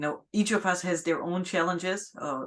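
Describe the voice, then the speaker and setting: Speaking at a fairly quick pace with a non-native accent, the voice comes over a quiet background. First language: not English. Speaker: podcast host. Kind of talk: casual interview chat. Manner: halting.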